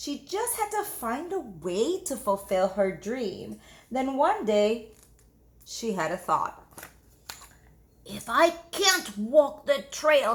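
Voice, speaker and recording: Over noticeable background noise, a woman speaks very slowly in a high voice whose pitch swings very widely. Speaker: teacher. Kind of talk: children's book read-aloud. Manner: expressive, engaging.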